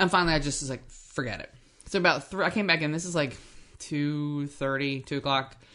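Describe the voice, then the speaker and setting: With an American accent, a woman speaks at a fairly quick pace in a very deep, low voice that is bright and sharp in tone, animated, and has ordinary pitch variation. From New Jersey. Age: 50s. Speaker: co-host, hobby farmer. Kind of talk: casual chat. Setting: at home kitchen table.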